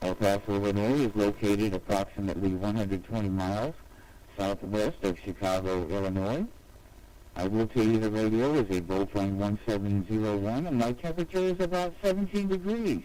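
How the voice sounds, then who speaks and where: Here is a man with a plain, everyday voice at a fairly low pitch. His pitch variation is ordinary and his loudness very even. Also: fairly quick pace. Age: 60s. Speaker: amateur radio operator. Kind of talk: ham radio contact exchange. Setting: amateur radio transmission. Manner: formal.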